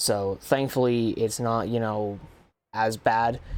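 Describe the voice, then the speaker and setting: Monotone and flat in intonation, a man talks at a medium pitch. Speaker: sim racing gamer. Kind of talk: gameplay commentary. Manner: casual, filler-heavy.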